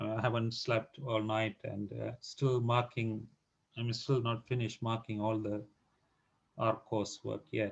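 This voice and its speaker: A man talks at a fairly slow pace. His delivery is monotone and flat, and somewhat breathy. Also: medium pitch for a man. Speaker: statistics tutor. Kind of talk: tutorial announcements. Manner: halting.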